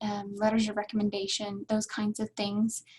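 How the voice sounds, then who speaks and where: Her voice is somewhat breathy at medium pitch. This woman speaks at a fairly quick pace in a monotone, flat intonation. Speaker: graduate admissions staff presenter. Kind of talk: online workshop presentation. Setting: webinar with chat. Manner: fast.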